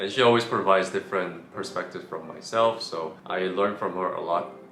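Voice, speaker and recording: A man speaks at a fairly quick pace, with audible room echo and noticeable background noise in the recording. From South Korea, moved to New York at 13. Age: 20s. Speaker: vlogger, software developer. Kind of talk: casual interview chat.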